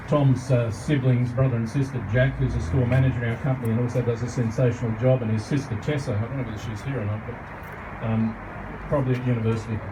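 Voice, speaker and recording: A man with an Australian accent, at medium pitch with fairly even intonation, amid noticeable background noise and audible room echo. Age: 60s. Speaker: garden centre owner. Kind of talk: speech at an industry event.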